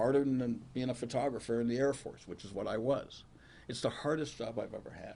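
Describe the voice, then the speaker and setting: At a fairly quick pace, a man with a dark, mellow, medium-pitched voice speaks amid audible room echo. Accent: American. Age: 70s. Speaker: county prosecutor. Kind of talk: press conference Q&A.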